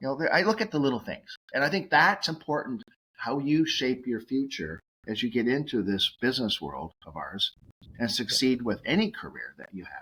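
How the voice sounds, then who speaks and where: A man with a Massachusetts accent, fairly high-pitched, with vocal fry, a bright, sharp tone, very wide pitch swings, big swings in loudness, and a moderate pace. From Massachusetts, Cape Cod. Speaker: nutraceutical executive and radio host. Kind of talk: podcast interview. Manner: animated, many fillers.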